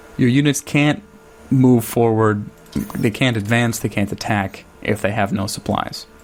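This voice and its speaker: A man with an American accent speaks at a medium pitch and a fairly slow pace. His intonation is fairly even, with music in the background. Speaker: gaming video creator. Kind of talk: let's play commentary. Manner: casual, hesitant with fillers.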